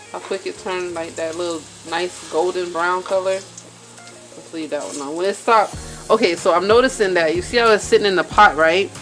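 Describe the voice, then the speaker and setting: Over music in the background, a woman talks at a fairly quick pace with big swings in loudness and ordinary pitch variation. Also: fairly low pitch for a woman. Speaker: cooking vlogger. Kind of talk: cooking tutorial. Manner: casual.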